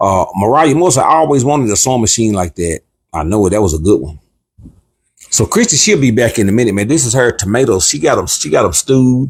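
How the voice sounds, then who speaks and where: Talking at a very fast pace, a man sounds animated and somewhat breathy, with lively intonation. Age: 60s. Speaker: cooking channel co-host. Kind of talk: casual livestream chat.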